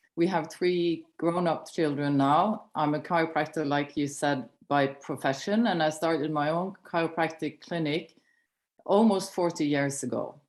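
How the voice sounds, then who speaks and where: Against a quiet background, a woman with a Norwegian accent speaks at a very deep, low pitch with ordinary pitch variation. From Norway. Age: 60s. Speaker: chiropractor and network marketing director. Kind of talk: personal testimony on a training call. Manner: slower, non-native pace.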